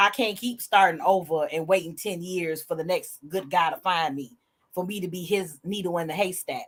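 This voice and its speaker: A woman with a normal speaking voice talks at a moderate pace, her medium pitch moving with ordinary variation. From US Midwest, Indiana. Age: 50s. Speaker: podcast co-host. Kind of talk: casual chat.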